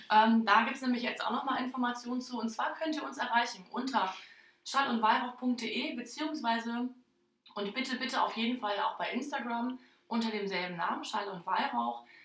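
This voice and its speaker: Her voice is high, and the woman speaks at a moderate pace. Her pitch varies in an ordinary way. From northern Germany, Oldenburger Land. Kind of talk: casual chat. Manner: many filler sounds.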